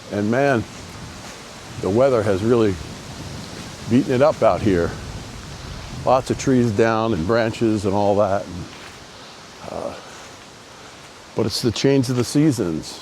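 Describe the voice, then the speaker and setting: Over noticeable background noise, a man speaks in a relaxed tone at a fairly slow pace, with long, frequent pauses and ordinary pitch variation. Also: medium pitch for a man. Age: 60s. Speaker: tattoo artist. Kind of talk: casual vlog monologue. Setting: outdoors. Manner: relaxed, many fillers.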